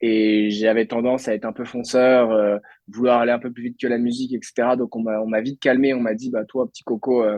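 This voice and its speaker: Here a man's voice sits at a medium pitch, and he talks fairly fast. His delivery is flat and monotone. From France, Brittany (Lannion, Côtes d'Armor). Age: 20s. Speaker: entrepreneur. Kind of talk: podcast interview. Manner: hesitant, many fillers.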